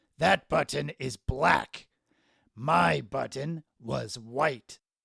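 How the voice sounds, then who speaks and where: In a put-on character voice, a man speaks raspy and very slow at a medium pitch. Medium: read story. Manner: fussy, complaining.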